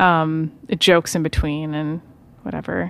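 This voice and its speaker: Here a woman speaks. Her pitch is very deep and low. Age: 20s. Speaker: podcast co-host, host's wife. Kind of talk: casual chat. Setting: home studio. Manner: soft-spoken.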